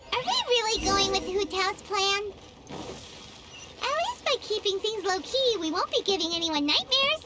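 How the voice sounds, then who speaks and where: In a put-on character voice, the speaker talks at a moderate pace and an extremely high pitch. Loud background noise sits behind the voice. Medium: machinima. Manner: chatty, blunt.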